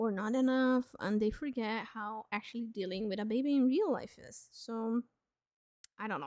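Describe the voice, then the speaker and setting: A woman with a non-native accent at a fairly high pitch, moderate pace and ordinary pitch variation, in a dry, close sound with no echo. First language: not English. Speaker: streamer. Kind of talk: live stream chat. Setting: live stream. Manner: casual, with fillers.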